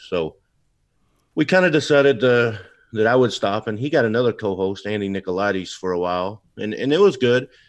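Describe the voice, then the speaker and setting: An unremarkable speaking voice talks at a fairly quick pace over a quiet background. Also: man, fairly low pitch for a man. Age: 40s. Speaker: tech-savvy guest. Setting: video call.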